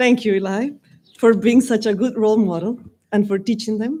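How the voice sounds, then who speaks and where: A woman in a Spanish accent, fairly high-pitched and fairly quick, with fairly even intonation. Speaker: Spanish teacher. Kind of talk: commencement speech. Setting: graduation ceremony with audience.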